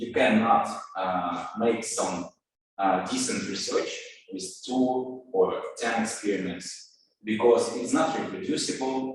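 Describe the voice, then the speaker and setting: Over music in the background, a man speaks at a very slow pace with audible room echo. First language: Russian. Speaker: scientist. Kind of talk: lecture. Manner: halting, many filler words.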